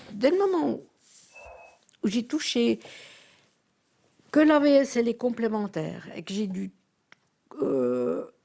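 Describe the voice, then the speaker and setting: Speech from a woman comes very slowly. Pauses are long and frequent. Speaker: retiree. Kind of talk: interview. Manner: halting.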